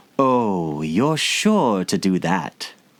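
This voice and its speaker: A man performs a put-on character voice at a fairly low pitch. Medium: read story. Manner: sly, riddling.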